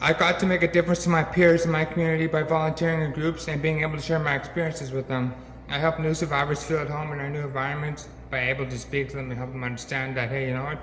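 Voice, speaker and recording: Flat, monotone intonation runs at a very fast pace, with noticeable background noise and audible room echo. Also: man, fairly high pitch for a man. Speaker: brain injury survivor and peer mentor. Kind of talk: public talk. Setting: stage with audience. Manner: halting.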